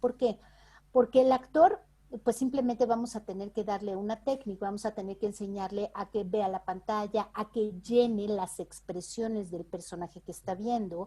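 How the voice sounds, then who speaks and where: A woman in a Mexican accent, with a fairly high pitch, a dark, mellow tone, fairly even intonation and a moderate pace. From Mexico. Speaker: voice actress and dubbing director. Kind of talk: interview answer.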